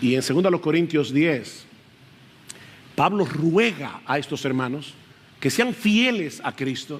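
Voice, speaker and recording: This man has a fairly high pitch and lively intonation. He speaks at a very slow pace with long, frequent pauses. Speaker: pastor. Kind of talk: sermon. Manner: loud at times.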